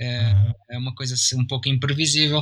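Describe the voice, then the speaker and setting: A man with a fairly high pitch talks at a fairly quick pace in a bright, sharp tone. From Brazil and Portugal. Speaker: cartoonist. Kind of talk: casual interview.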